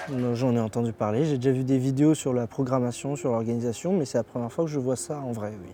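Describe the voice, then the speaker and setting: Hardly pausing, a man speaks at a very fast pace in medium pitch with ordinary pitch variation. His tone is dark and mellow. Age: 20s. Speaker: amateur choir singer, psychology student. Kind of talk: interview.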